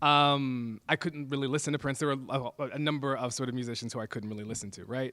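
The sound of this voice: A man's medium-pitched voice with a fairly bright tone, fairly even intonation and a fast pace, on a very clean recording with a silent background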